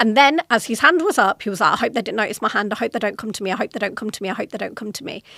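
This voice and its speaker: A woman speaks in a British accent with a fairly high pitch, a bright, sharp tone and lively intonation. She talks very fast with hardly any pauses, in a dry, close sound with no echo. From Britain. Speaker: podcast host, corporate executive. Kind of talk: solo podcast talk.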